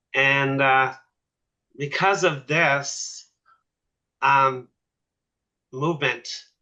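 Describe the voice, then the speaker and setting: Speaking at a very slow pace, a man leaves long, frequent pauses. His fairly high voice has a bright, sharp tone and fairly even intonation. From Nova Scotia, Cape Breton. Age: 60s. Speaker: military veteran. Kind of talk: panel discussion.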